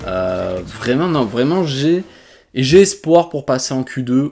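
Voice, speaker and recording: A fairly high-pitched man's voice with a dark, mellow tone, very wide pitch swings and a very slow pace. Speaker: gaming youtuber. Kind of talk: gameplay commentary. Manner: halting, with fillers.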